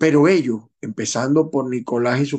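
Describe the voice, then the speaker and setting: In a quiet setting, a man's dark, mellow voice moves at a moderate pace, his intonation fairly even. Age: 50s. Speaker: political commentator, show host. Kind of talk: editorial news commentary.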